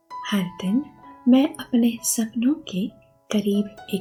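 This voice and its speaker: A woman with a fairly high pitch and ordinary pitch variation, calm in tone, with music in the background. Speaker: hypnotherapist and meditation guide. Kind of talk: guided hypnosis affirmation session. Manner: slow, calm.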